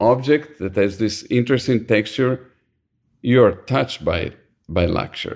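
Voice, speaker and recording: Speaking with an Italian accent, a man keeps a medium pitch and a fairly slow pace. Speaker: design agency founder. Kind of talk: interview.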